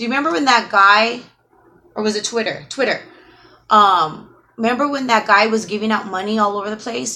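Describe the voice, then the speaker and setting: Mumbling at a fairly quick pace, a woman speaks with a fairly high pitch, a bright, sharp tone and ordinary pitch variation. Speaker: YouTuber doing live streams. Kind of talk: casual live-stream chat. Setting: live stream.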